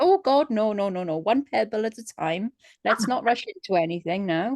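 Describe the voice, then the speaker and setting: A woman with an ordinary speaking voice talks at a moderate pace with lively intonation, recorded dry and close with no echo. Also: fairly high pitch for a woman. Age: middle-aged. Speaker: business member. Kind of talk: casual chat.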